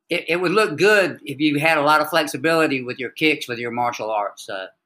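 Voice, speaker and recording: A man with a Southern accent, a fairly high pitch and a bright, sharp tone, at a very fast pace with lively intonation. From US South, North Carolina (Wilmington). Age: 60s. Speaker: army veteran and yoga practitioner. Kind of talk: interview.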